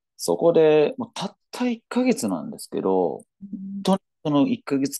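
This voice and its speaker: A man's dark, mellow voice makes very wide pitch swings, recorded with a dry, close sound and no echo. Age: 40s. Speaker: online coach and social media writer. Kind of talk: interview. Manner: hesitant, many fillers.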